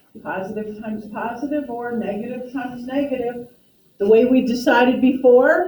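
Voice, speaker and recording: There is audible echo in the room. A woman speaks at a moderate pace in a high pitch, with ordinary pitch variation. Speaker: math teacher. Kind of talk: classroom lecture. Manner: soft-spoken.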